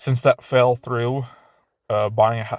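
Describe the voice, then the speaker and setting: Recorded very cleanly against a silent background, a man speaks at a medium pitch and a moderate pace. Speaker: YouTuber. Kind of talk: casual vlog monologue. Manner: halting, stuttering.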